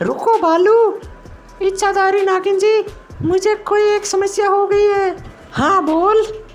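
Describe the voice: A cartoonish character voice at extremely high pitch and a fairly slow pace, with clear music in the background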